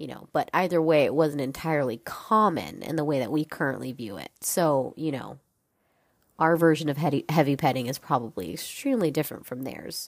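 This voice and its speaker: A woman with a very deep, low pitch speaks at a fairly quick pace, with ordinary pitch variation and big swings in loudness, on a very clean recording with a silent background. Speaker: solo podcast host. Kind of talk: casual monologue.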